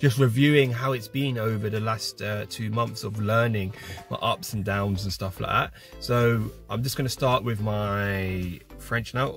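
Fairly slow man with an English accent, fairly low pitch and fairly even intonation, dry sound with no echo, faint music in the background. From Britain. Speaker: French learner. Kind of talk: casual vlog talk to camera. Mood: relaxed, reflective. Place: car. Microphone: phone near.

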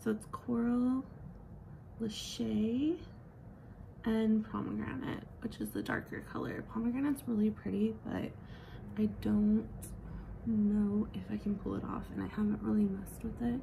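Moderate pace with long, frequent pauses, over noticeable background noise. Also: woman. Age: 30s. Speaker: beauty vlogger. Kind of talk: makeup tutorial. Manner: casual.

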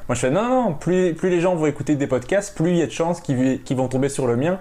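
A man talking at a fairly quick pace with ordinary pitch variation amid noticeable background noise. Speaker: podcast host. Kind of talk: casual interview.

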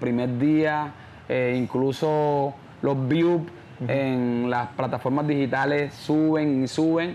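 This man speaks very slowly in a monotone, flat intonation. His pitch is fairly high, with light background noise behind him. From Colombian Caribbean coast, San Onofre, Sucre; Colombia. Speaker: champeta singer; interviewee. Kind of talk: interview. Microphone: lapel.

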